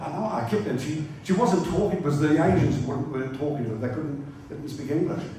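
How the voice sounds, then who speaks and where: A man with a New Zealand accent speaks at a fairly high pitch with ordinary pitch variation. Audible room echo and noticeable background noise are present. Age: 80s+. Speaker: motoring journalist. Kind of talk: after-dinner speech. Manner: casual, hesitant with fillers.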